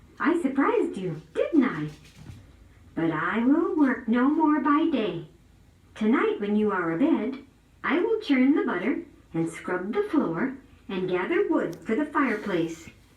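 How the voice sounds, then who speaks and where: A woman's squeaky, put-on character voice, high in pitch, with very wide pitch swings, a fairly slow pace and a slight echo. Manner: gleeful, playful.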